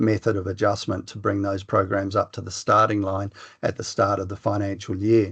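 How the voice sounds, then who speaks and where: With an Australian accent, a man speaks at a fairly quick pace and a fairly low pitch. His somewhat breathy voice is monotone and flat, over a quiet background. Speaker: professor. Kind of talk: lecture. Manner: fast.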